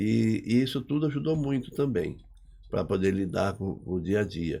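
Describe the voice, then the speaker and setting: Speaking in a dark, mellow tone at a fairly low pitch, a man keeps a moderate pace with lively intonation in a very clean recording with a silent background. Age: 60s. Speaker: engineer and business owner. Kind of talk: podcast interview. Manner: casual, conversational.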